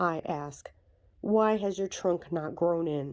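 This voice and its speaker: At a fairly slow pace, a put-on character voice sits at a middle pitch. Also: very clean recording, silent background. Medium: read story. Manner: rigid, authoritative, pompous.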